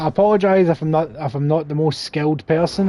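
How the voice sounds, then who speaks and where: Over noticeable background noise, a man with a strong Scottish accent talks at a very fast pace in a fairly high voice with fairly even intonation. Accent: thick Scottish. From Scotland. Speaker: gaming streamer. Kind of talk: live gameplay commentary. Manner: casual, chatty.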